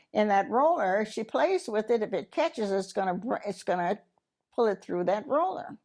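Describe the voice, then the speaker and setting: With an American accent, a woman speaks at a fairly high pitch with very wide pitch swings, against a quiet background. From US South, Mississippi. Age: 80s+. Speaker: interviewee, widow. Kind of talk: personal testimony. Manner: halting.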